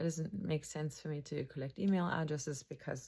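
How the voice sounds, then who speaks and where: A woman speaks at a moderate pace with vocal fry and fairly even intonation, on a very clean recording with a silent background. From Germany. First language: German. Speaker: mental health counselor. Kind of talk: educational talk to camera.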